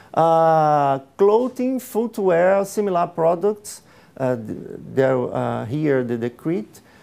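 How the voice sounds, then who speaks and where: A man talks at a very slow pace in a Portuguese accent, high-pitched with lively intonation. His tone is dark and mellow. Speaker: public procurement official. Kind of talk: conference presentation. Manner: halting, many fillers.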